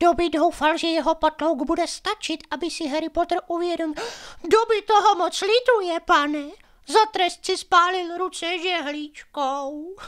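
A man does a put-on character voice. His pitch is extremely high.

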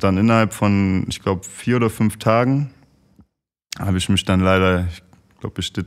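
Talking at a fairly quick pace, a man with a plain, everyday voice keeps a fairly low pitch and fairly even intonation. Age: 30s. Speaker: professional footballer. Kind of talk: casual chat.

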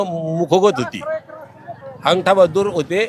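Noticeable background noise behind a man with a high pitch. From Maharashtra, Pune area. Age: 60s. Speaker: retired government technical officer, pilgrim. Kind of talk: interview. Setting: outdoors.

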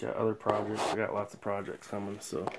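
Loud background noise surrounds a soft-spoken man with a fairly low pitch. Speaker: car audio hobbyist YouTuber. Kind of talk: casual tutorial. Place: garage. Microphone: phone near.

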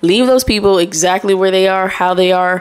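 A woman speaks at a moderate pace with a fairly low pitch. Her intonation stays fairly even. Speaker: podcast host. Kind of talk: solo podcast monologue, casual chat with audience. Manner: casual, conversational. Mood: earnest, firm advice. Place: home room. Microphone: studio mic.

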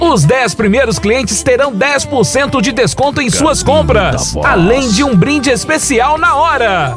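With clear music in the background, a man with an extremely high-pitched voice speaks at a fairly slow pace. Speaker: voice actor. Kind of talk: retail radio commercial read. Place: booth.

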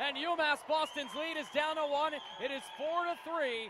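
A man's animated, excited voice over noticeable background noise. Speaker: sports broadcaster. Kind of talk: live sports play-by-play commentary. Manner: animated, excited, punchy calls that rise to a shout on goals and dunks.

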